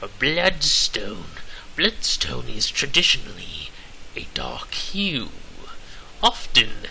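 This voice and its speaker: Whispering in a put-on character voice, a man talks at a very slow pace. His pauses are long and frequent. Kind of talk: comic overacting. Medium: solo performance. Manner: theatrical, exaggerated.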